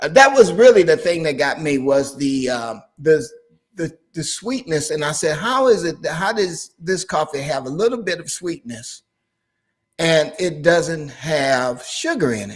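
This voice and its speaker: An ordinary speaking voice, a man's fairly high one, goes at a fairly slow pace with lively intonation and big swings in loudness. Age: 60s. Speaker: pastor and channel host. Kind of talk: casual chat.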